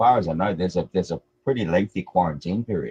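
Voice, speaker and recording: This man talks at a fairly quick pace with lively intonation and vocal fry. The sound is dry and close, with no echo. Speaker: crypto stream guest. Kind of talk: casual chat.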